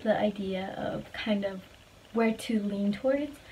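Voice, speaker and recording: Speaking at a fairly slow pace, a woman with a fairly high pitch keeps her intonation fairly even over noticeable background noise. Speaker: vlogger. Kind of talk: casual monologue vlog. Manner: trembling, quaky voice when passionate.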